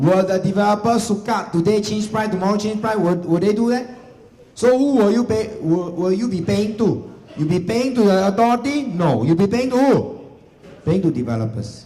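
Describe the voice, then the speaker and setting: A high-pitched man with a Singaporean accent at a moderate pace, ordinary pitch variation, noticeable background noise and audible room echo. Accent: Singaporean English (Singlish). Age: 40s. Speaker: real estate agency leader giving seminar. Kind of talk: seminar presentation to live audience. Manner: animated, repetitive emphasis.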